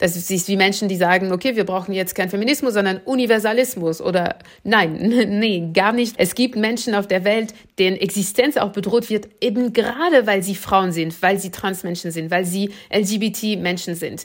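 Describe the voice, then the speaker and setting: A woman with a normal speaking voice talks at a moderate pace, her medium pitch showing ordinary pitch variation. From France. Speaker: political scientist and author. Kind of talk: interview.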